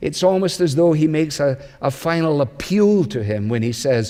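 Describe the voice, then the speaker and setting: A man talks in a Scottish accent with lively intonation. His pitch is fairly high and his pace moderate. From Scotland. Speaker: pastor. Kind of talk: sermon.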